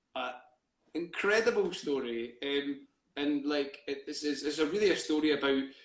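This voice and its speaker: A man's fairly high voice with a Scottish accent at a moderate pace. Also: ordinary pitch variation. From Scotland, East Lothian. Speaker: theatre company co-founder. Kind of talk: interview. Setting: live video stream. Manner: halting, many fillers.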